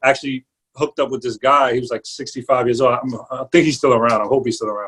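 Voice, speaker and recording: Speaking very fast with a New York accent, a man keeps a medium pitch and fairly even intonation. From New York, the Bronx. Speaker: barber and entrepreneur. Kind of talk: interview. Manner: casual with slang and fillers.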